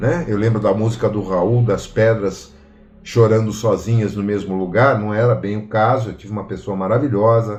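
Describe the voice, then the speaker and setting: A man's fairly low, somewhat breathy voice carries audible room echo. He moves at a moderate pace. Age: 60s. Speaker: study group participant. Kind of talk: personal testimony.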